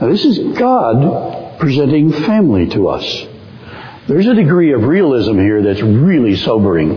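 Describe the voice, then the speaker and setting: A man speaks with very wide pitch swings. Noticeable background noise runs behind him. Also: fairly high pitch for a man, moderate pace. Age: 70s. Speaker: guest preacher, campus minister. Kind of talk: sermon. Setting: church.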